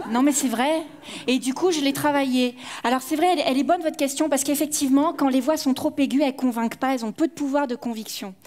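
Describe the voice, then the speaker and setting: A woman at a high pitch and a very fast pace, her intonation fairly even, with noticeable background noise. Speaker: conference speaker and professional actor. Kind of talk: conference Q&A. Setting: stage with audience.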